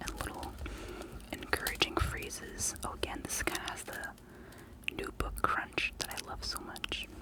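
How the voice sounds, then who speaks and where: Someone speaks in a whisper. There is noticeable noise in the background. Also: woman. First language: not English. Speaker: ASMR creator. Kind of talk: ASMR show-and-tell. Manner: whispering; soft-spoken.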